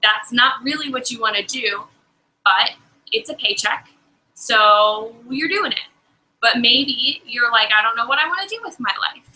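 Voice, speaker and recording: The voice is loud, moving at a fairly slow pace with lively intonation. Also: woman, high pitch for a woman. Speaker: life coach. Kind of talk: webinar talk. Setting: live video stream. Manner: animated.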